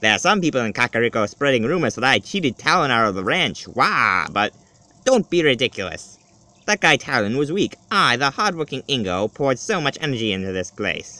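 A man in a put-on character voice, at a fairly quick pace. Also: medium pitch for a man. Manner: smug, sneaky.

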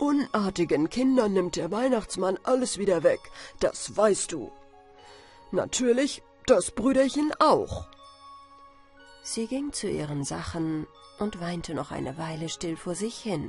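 A woman with a medium pitch talks at a very slow pace, leaving long, frequent pauses. Her pitch swings very widely and her loudness rises and falls sharply over music in the background. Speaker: storyteller. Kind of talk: bedtime story.

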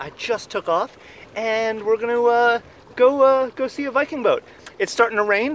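Recorded dry with no echo and light background noise, a man speaks at a fairly quick pace. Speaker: sailor vlogger. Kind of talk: casual vlog chat. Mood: enthusiastic, relaxed. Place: boat. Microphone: phone near.

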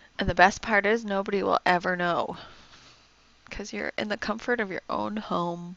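A soft-spoken voice with vocal fry and fairly even intonation. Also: woman, medium pitch for a woman, moderate pace, fairly bright tone.

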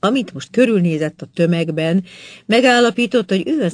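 Spoken in a dramatic tone at a fairly slow pace, the voice sits over a quiet background. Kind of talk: literary audiobook reading, scripted narration of a novel chapter. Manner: measured, even-paced, formal storytelling delivery; rich, vivid descriptive narration with dramatic build in climactic passages.

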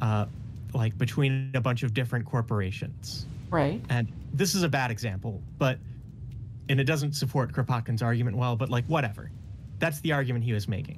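Over music in the background, a man speaks at a fairly quick pace with very even loudness and ordinary pitch variation. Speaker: caller. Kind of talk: conversational storytelling.

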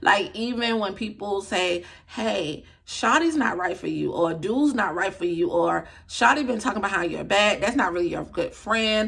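A woman speaks at a moderate pace in an animated tone, her intonation lively. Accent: American. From US South, Atlanta, Georgia. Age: 20s. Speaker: YouTuber, lifestyle vlogger. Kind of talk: casual vlog monologue. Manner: talkative, animated. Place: home room. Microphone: phone near.

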